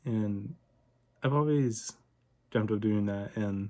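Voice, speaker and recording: A soft-spoken man's voice, fairly low in pitch. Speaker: vlogger. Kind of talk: casual monologue vlog. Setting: home recording at night. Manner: monotone; quiet, talking softly late at night.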